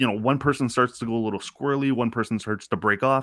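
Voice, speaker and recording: This man speaks with an Ontario accent. His pace is fairly quick. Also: very clean recording, silent background. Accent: Canadian (Ontario). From Canada, Scarborough (Toronto). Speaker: parenting and pop culture podcaster. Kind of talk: casual interview chat.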